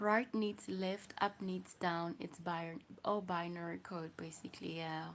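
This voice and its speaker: A woman's very slow speech. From South Africa. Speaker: livestreamer. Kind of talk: casual livestream chat.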